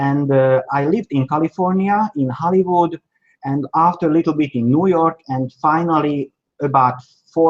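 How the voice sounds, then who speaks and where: Speaking with a Hungarian accent, a man talks at a moderate pace and a fairly high pitch, the sound dry and close with no echo. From Slovakia, Hungarian minority. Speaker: China sourcing agent. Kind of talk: interview. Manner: halting.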